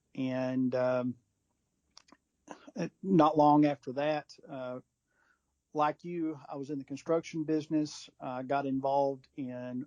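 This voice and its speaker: A man speaks at a fairly slow pace with a Texan accent, his fairly high voice dark and mellow in tone, his intonation fairly even, and the sound dry and close with no echo. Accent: Texan American. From West Texas. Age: 50s. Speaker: fly fishing industry executive. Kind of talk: casual interview.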